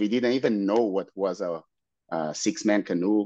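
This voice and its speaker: Over a quiet background, a man with a Brazilian Portuguese accent talks at a moderate pace in a fairly low pitch. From Brazil, Santos. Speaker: paddler and race organizer. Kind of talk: podcast interview. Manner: halting.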